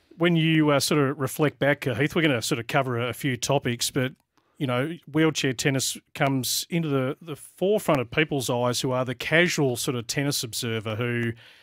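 Against a quiet background, a man with an Australian accent talks at a fairly quick pace with fairly even intonation, the sound dry with no echo. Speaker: tennis radio host. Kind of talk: casual sports chat. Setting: studio. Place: studio. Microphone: studio mic.

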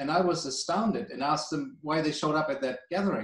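A man with a German accent talks at a fairly quick pace in a fairly high, somewhat breathy voice, with audible room echo over a quiet background. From Germany. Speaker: energy policy director; guest. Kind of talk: expert interview. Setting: video call. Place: home room. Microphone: video call.

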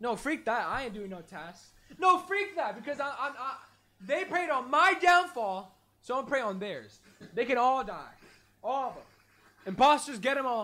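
The voice is raised and projected, bright and sharp, with very wide pitch swings. It moves at a moderate pace with long, frequent pauses. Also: man, extremely high pitch for a man, big swings in loudness. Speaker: streamer. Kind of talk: casual live stream chat. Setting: live stream. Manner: animated, chatty. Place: home room.

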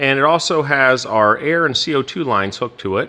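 A man speaks at a fairly slow pace in a bright, sharp tone. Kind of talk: tutorial. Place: factory. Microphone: phone near.

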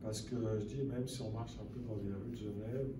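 Noticeable background noise is present. A man talks at a moderate pace. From Lower Valais, Switzerland. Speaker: conference speaker and author. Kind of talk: lecture. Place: hall. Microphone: camera far.

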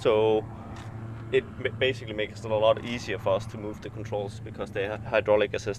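A man talks at a fairly quick pace. The sound is dry with no echo, with light background noise. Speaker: helicopter flight instructor. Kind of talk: explaining walkaround tour. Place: street. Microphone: phone near.

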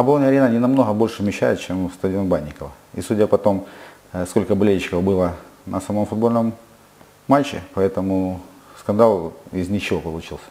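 A man speaks at a fairly quick pace but leaves long, frequent pauses. His voice is fairly low-pitched, with ordinary pitch variation. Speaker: football club president and player. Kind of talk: interview. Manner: halting. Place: studio.

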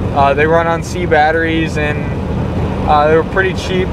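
A man talks at a fairly quick pace. The sound is dry with no echo, though loud background noise is present. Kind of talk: casual vlog chat. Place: car. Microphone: phone near.

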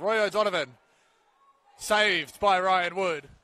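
In a dry recording with no echo, a man speaks in an animated, bright, sharp tone. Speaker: football commentator. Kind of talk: live match commentary. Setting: stadium match broadcast. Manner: fast, clipped play-by-play delivery; animated, rising in excitement at goals and penalties. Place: stadium.

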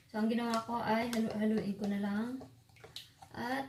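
There is noticeable background noise and audible room echo. A woman speaks at a fairly high pitch with fairly even intonation. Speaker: beauty vlogger. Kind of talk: tutorial. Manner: casual, chatty with fillers.

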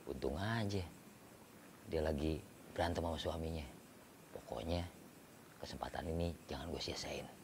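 With noticeable background noise, a man speaks at a moderate pace in a very deep, low pitch with ordinary pitch variation. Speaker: actor in a drama scene. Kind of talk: scripted drama monologue. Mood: sly, scheming. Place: garden.

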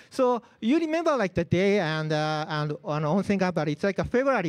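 A man speaks at a fairly slow pace in a high voice with very wide pitch swings. The background is quiet. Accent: Japanese. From Japan. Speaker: open source community organizer; presenter. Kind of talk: lightning talk. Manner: halting, many fillers. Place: hall.

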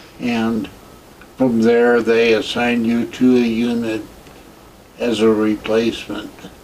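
Over light background noise, a man with an American accent speaks fairly slowly in a flat monotone, leaving long, frequent pauses. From US Midwest. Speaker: war veteran. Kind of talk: oral history interview. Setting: veterans care home. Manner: halting. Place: home room.

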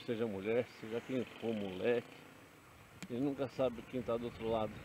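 Light background noise sits under a dry sound with no echo as the speaker moves at a moderate pace with fairly even intonation. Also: man. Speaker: motorcycle vlogger. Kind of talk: casual vlog chat. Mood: cautionary storytelling. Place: motorbike. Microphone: helmet.

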